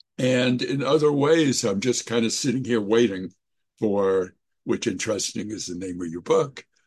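In a plain, everyday voice, a man talks at a moderate pace and medium pitch with lively intonation. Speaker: person in addiction recovery. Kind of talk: sharing at recovery meeting. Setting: video call.

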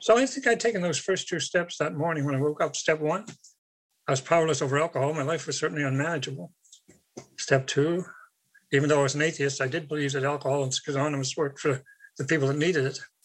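Talking at a very fast pace, a man with a Canadian Maritime accent uses a fairly high pitch with ordinary pitch variation. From Canada, Nova Scotia. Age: 70s. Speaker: recovering alcoholic speaker. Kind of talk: recovery meeting testimony.

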